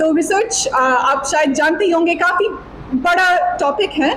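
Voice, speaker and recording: With a non-native accent, a woman speaks at an extremely high pitch with lively intonation against noticeable background noise. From USA (California). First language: not Hindi (speaking Hindi). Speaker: PhD researcher giving seminar. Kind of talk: seminar talk to students. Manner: partly read aloud from notes; halting with fillers.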